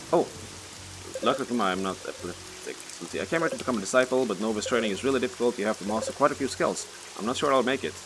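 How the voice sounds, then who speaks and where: Music plays behind a man speaking at a very fast pace. His pitch is medium, with ordinary variation. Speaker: gaming video creator. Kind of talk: let's play commentary. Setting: at home at night. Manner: loud.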